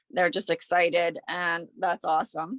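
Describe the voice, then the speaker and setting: A woman's voice, dry and close with no echo. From Pittsburgh, Pennsylvania. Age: 40s. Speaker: small business owner, professional organizer. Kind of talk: casual interview.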